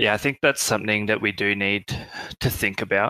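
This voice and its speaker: In an Australian accent, a man speaks at a fairly low pitch with a bright, sharp tone and monotone, flat intonation, the sound dry and close with no echo on a very clean recording with a silent background. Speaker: project team member. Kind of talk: casual chat.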